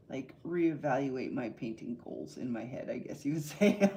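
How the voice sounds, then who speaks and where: A soft-spoken woman with a dark, mellow tone. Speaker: artist livestreamer. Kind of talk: live painting stream commentary.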